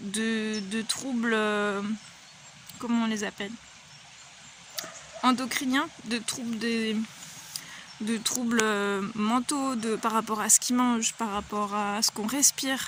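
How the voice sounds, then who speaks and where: A woman's fairly high, monotone, flat voice at a very slow pace with long, frequent pauses and noticeable background noise. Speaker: vlogger. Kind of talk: personal vlog monologue. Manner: hesitant, many fillers.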